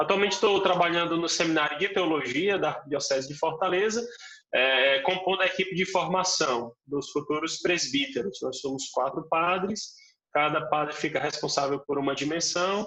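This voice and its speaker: A man speaks with a high pitch and ordinary pitch variation, keeping a moderate pace. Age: young. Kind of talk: interview.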